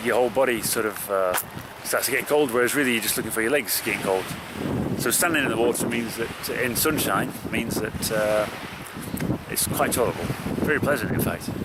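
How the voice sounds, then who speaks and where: Someone speaks at a fairly quick pace against noticeable background noise. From Yorkshire, northern England. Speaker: endurance runner, video diarist. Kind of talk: video diary. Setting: outdoors. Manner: casual, hesitant with fillers.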